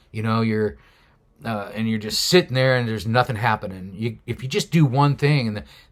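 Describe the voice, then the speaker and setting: On a very clean recording with a silent background, a man with an unremarkable speaking voice talks at a moderate pace, medium in pitch with lively intonation. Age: 60s. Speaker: solo bicycle traveller and mountaineer. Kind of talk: casual talk to camera.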